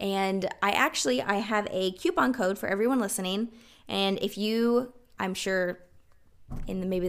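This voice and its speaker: Medium in pitch, a woman speaks with a Southern US accent. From South Carolina. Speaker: podcast host and capsule wardrobe expert. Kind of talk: interview.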